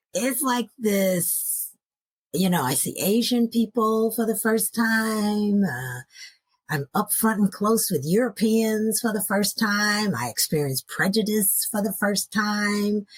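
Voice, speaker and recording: A woman with an American accent speaks very slowly and somewhat breathily, with ordinary pitch variation. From US Pacific Northwest (Seattle suburbs), early childhood in Nashville. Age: 60s. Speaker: grief and loss coach. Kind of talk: interview storytelling. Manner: animated.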